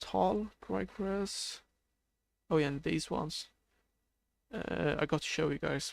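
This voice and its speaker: A man with a Swedish accent speaks very slowly in a fairly high voice with very wide pitch swings and long, frequent pauses. His tone is sad. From Sweden. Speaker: video game streamer. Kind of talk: live stream gameplay commentary. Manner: sounds a bit sad; hesitant, many fillers.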